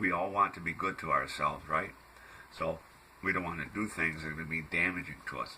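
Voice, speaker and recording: A man's very deep, low-pitched voice at a fairly quick pace, monotone and flat in intonation, with noticeable background noise. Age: 60s. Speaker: health food blogger. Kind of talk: casual monologue. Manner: hesitant, many fillers.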